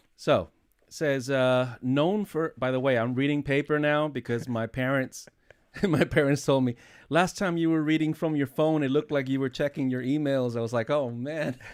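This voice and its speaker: In a very clean recording with a silent background, a man with a fairly high pitch talks at a moderate pace with ordinary pitch variation. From Spain, youth in United States. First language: Spanish. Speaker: podcast host, DJ. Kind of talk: podcast interview intro; reading aloud a bio.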